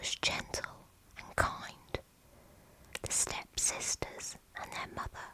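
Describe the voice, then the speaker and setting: A woman whispers very slowly in a calm tone. Background noise is noticeable. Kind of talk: fairy tale bedtime story narration. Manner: whispered; soft, calm, slow.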